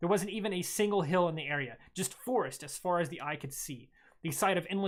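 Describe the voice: Just plain reading aloud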